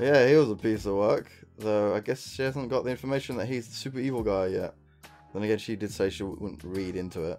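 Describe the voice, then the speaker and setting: Music plays in the background. Over it, a man with a fairly low voice speaks at a fairly quick pace. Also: ordinary pitch variation. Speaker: let's play commentator. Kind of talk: casual gameplay commentary.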